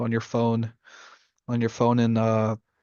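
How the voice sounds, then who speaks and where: A man is talking. His voice has a medium pitch. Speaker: student. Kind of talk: class assignment presentation. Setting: at home, self-recorded video. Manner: halting; casual.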